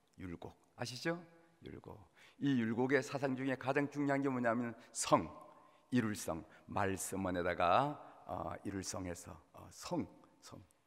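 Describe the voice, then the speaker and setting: A man with a Gangwon accent, very slow and medium-pitched, with big swings in loudness, lively intonation, and a very clean recording against a silent background. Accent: Gangwon regional intonation. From Korea, Gangwon (Gangneung). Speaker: pastor. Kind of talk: sermon. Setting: church.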